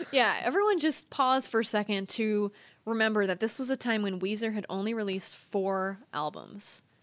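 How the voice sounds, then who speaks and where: With an American accent, a woman speaks at a moderate pace, her fairly high voice showing ordinary pitch variation. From Northern California. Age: 30s. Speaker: podcast co-host. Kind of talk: casual chat. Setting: remote recording, different states.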